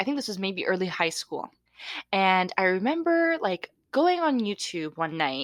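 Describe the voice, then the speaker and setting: A woman speaks loudly at a medium pitch, with very wide pitch swings. The recording is very clean, with a silent background. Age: 20s. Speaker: podcast co-host. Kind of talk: casual chat.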